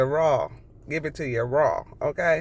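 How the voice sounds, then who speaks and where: A woman's animated tone. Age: 60s. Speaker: vlogger. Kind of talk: casual chat.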